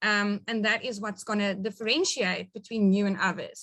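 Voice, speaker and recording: The speaker has a South African accent. The tone is bright and sharp. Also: woman. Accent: Afrikaans South African English. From rural South Africa, Afrikaans-speaking. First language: Afrikaans. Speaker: network marketing business leader. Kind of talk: business training webinar.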